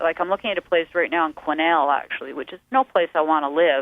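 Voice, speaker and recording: A woman's fairly low-pitched voice with a western Canadian accent. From western Canada. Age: 50s. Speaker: musician and painter. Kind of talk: radio interview.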